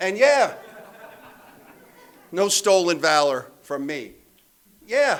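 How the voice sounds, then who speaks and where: Speaking slowly-ish with an American accent, a man uses a high pitch at a fairly slow pace. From Pennsylvania. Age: 60s. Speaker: AA speaker. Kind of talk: recovery testimony talk. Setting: meeting room with live audience. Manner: casual, conversational with many fillers.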